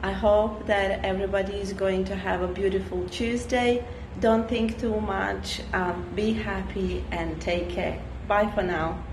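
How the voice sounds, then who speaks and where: Noticeable background noise runs under the clip. A woman speaks at a fairly slow pace. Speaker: online business vlogger. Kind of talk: casual vlog chat. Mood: relaxed, cheerful. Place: street. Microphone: phone near.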